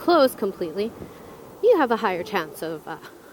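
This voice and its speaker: A woman is talking amid noticeable background noise. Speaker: motorcycle vlogger. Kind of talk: casual vlog while riding. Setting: outdoors on a motorcycle, in helmet. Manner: loud.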